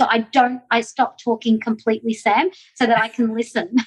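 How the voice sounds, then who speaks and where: Animated in tone, a woman with an Australian accent speaks fairly quickly at a fairly high pitch. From Australia, Melbourne. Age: 50s. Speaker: direct selling entrepreneur. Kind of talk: interview.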